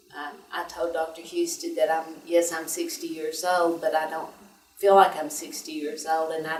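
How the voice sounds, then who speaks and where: A woman speaks at a moderate pace. Audible room echo surrounds her voice. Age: 60s. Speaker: patient. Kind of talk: testimony. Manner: hesitant, many fillers.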